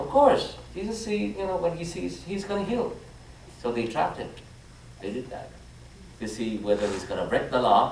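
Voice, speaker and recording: A man with a high pitch and very wide pitch swings, at a moderate pace with long, frequent pauses, amid noticeable background noise and audible room echo. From Vietnam. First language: Vietnamese. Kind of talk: homily. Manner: halting, frequent fillers and restarts.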